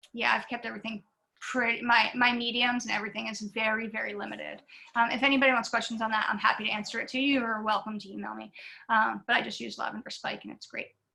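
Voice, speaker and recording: Very fast pace, vocal fry, a bright, sharp tone and monotone, flat intonation. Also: woman, fairly high pitch for a woman, big swings in loudness. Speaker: visiting artist, portrait painter. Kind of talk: artist lecture Q&A. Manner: casual, many fillers.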